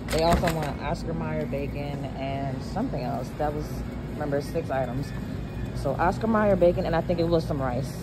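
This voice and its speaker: Moderate pace with music in the background. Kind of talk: casual vlog chat. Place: shop. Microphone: phone near.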